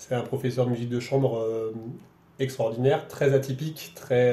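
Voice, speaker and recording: Amid audible room echo and noticeable background noise, a man speaks at a moderate pace and medium pitch with fairly even intonation. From France, Roanne area. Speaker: violinist and festival director. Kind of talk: radio interview. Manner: halting, many repetitions.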